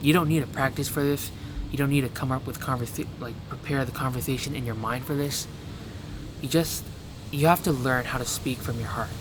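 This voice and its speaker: Music plays in the background as a man talks at a fairly quick pace and medium pitch. His pitch variation is ordinary, and room echo is audible. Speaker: self-help vlogger. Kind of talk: casual advice monologue. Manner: fast, racing speech; halting with stutters.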